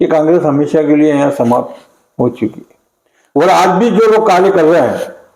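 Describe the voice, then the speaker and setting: With lively intonation and a fairly high pitch, a man speaks in a normal speaking voice at a moderate pace. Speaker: veteran local politician. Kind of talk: interview.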